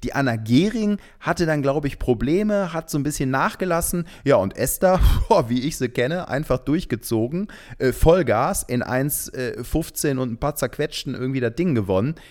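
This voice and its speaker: A man speaks at a moderate pace at a fairly high pitch. His tone is animated and his intonation lively. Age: 30s. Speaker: TV reporter and hobby runner. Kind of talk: casual chat. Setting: at home on his couch. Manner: animated, laughs often.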